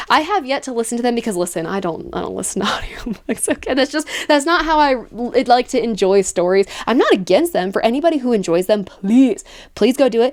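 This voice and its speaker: Her pitch is high and swings very widely as the woman talks at a fairly quick pace. She has an animated tone, and there is noticeable background noise. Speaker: book reviewer. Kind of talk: casual video review. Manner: fast.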